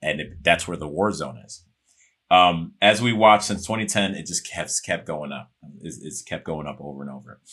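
A man with an American accent, very deep and low in pitch, with vocal fry, a bright, sharp tone, lively intonation and a moderate pace. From Chicago. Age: 40s. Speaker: actor. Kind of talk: podcast interview.

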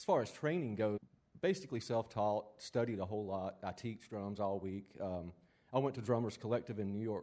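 A man with a Southern US accent speaks at a fairly quick pace in a fairly low pitch. His tone is dark and mellow, with ordinary pitch variation. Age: 50s. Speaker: drummer. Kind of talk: interview.

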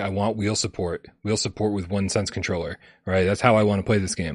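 Somewhat breathy and fairly low-pitched, a man talks at a very fast pace in a dry, close sound with no echo over a quiet background. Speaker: VR gaming show host. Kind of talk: casual chat.

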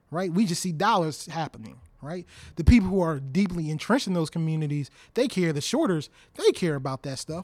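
A man with an American accent, high-pitched, at a fairly quick pace, with ordinary pitch variation. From Baltimore, Maryland. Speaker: tech investor and engineer. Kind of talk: interview conversation.

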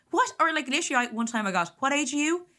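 Speaking with an Irish accent, a woman has a bright, sharp tone. She talks at a very fast pace. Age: 30s. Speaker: comedian and podcast host. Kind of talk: casual chat.

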